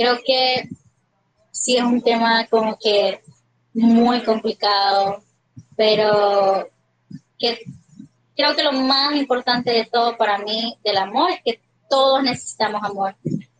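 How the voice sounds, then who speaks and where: A woman with a fairly high voice speaks at a very slow pace. Her intonation is fairly even, broken by long, frequent pauses. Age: 20s. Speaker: psychology student. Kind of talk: casual interview.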